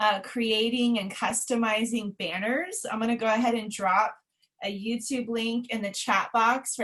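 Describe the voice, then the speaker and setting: At a moderate speed comes an unremarkable speaking voice. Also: woman. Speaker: former middle school science teacher, webinar presenter. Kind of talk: webinar presentation. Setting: online webinar.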